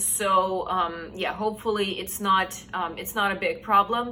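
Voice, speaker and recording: A woman speaks at a medium pitch in a flat monotone. Her pace is fairly slow, with noticeable background noise. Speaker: book reviewer. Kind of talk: casual talk to camera.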